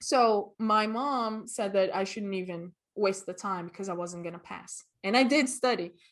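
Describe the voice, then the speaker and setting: A woman with a Portuguese accent, ordinary pitch variation and big swings in loudness, against a quiet background. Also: medium pitch for a woman, moderate pace. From Brazil, Rio de Janeiro and Vitória. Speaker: costumer and cosplayer. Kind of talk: interview.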